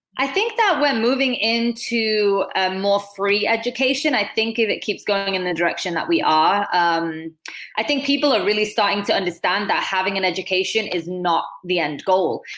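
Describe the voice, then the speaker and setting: A woman with a Manchester accent, medium pitch and lively intonation, at a moderate pace with hardly any pauses. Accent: Northern English (Manchester). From Manchester, England. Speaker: dancer and choreographer. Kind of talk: interview answer.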